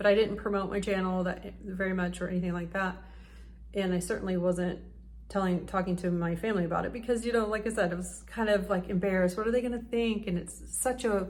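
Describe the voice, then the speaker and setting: Somewhat breathy, a woman with a medium pitch talks at a very fast pace with fairly even intonation, and room echo is audible. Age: 40s. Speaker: YouTuber. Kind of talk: casual vlog talk to camera.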